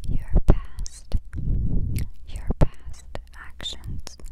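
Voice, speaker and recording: A woman whispers at a very slow pace. Her tone is soothing. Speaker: ASMR creator. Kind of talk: ASMR positive affirmations. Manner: whispered; slow, soothing, repetitive. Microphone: lapel.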